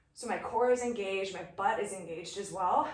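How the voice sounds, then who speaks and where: Over noticeable background noise and audible room echo, a woman speaks in an energetic tone. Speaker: fitness instructor. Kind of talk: workout instruction. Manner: energetic, encouraging.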